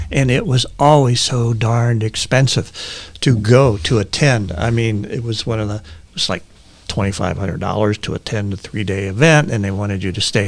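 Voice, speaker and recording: Using a fairly low pitch, a man with an American accent talks with ordinary pitch variation. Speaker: panel guest, event industry professional. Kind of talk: casual panel discussion.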